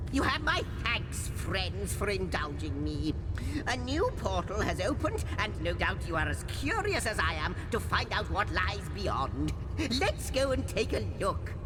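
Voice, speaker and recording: A put-on character voice at a moderate pace. Loud background noise fills the recording. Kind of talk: florid, pompous game dialogue. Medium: machinima. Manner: wordy, ornate, self-interrupting.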